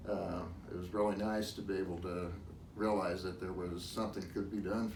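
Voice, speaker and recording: A man's very deep, low voice at a fairly quick pace, fairly even in intonation, with audible room echo. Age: 60s. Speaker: patient giving a testimonial. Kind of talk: interview testimony.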